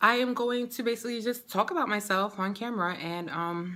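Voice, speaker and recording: The recording is very clean, with a silent background. A woman speaks animatedly at a moderate pace in a bright, sharp tone. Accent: New York. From New York City, the Bronx. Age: 30s. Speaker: beauty and lifestyle vlogger. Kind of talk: casual get-to-know-me vlog.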